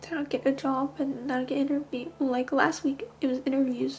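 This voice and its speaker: A woman speaks with a high pitch and fairly even intonation. Noticeable background noise runs underneath. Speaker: vlogger. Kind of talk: casual vlog talk to camera.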